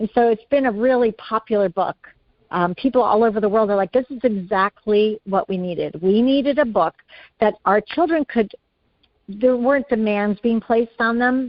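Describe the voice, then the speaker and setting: Here a woman has an unremarkable speaking voice with an American accent, fairly high in pitch. She talks at a moderate pace with ordinary pitch variation. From US Northeast (upstate New York / Vermont). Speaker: preschool teacher and author. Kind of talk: interview conversation.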